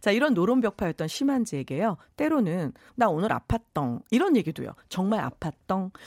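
Very wide pitch swings and vocal fry mark this voice, held at very even loudness in a dry, close recording with no echo, very clean over a silent background. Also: woman, medium pitch for a woman, moderate pace. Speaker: Korean history lecturer. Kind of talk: radio history segment.

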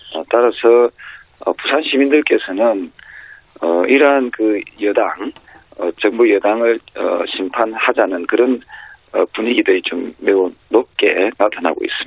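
The speech moves fairly slowly, broken by long, frequent pauses. Noticeable background noise sits underneath. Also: man. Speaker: politician. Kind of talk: interview. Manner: halting, many fillers.

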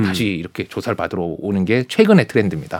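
With vocal fry, a man's voice swings very widely in pitch. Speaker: lawyer. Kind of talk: casual chat.

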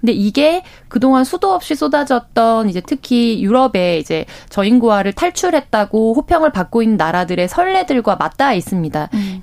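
Her pitch fairly high and swinging very widely, a woman talks at a moderate pace. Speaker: current affairs commentator. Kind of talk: radio news discussion. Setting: radio studio.

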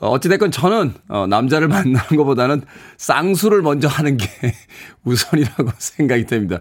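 A man with a normal speaking voice and medium pitch talks at a moderate pace with lively intonation on a very clean recording with a silent background. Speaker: radio DJ. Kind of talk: morning radio show. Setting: radio studio.

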